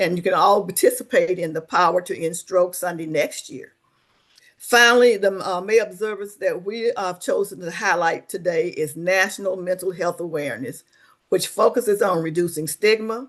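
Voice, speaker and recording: A woman with a Southern US accent and medium pitch speaks at a moderate pace with ordinary pitch variation over a quiet background. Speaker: webinar host, social service coordinator. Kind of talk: webinar presentation. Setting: online webinar.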